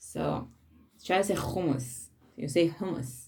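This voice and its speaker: A woman with an Israeli accent speaks at a fairly slow pace in a dark, mellow tone, her pitch swinging very widely against audible room echo. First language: Hebrew. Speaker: spiritual teacher. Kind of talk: talk on weekly Torah portion. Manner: halting.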